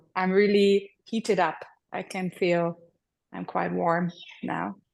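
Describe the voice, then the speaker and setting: Very slowly, a woman speaks with a German accent. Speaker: workshop participant. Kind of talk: casual sharing.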